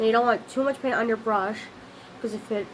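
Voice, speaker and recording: There is noticeable background noise behind this woman. Her fairly high voice keeps a fairly even intonation. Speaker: craft video maker. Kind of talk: tutorial. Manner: fast; halting, self-correcting.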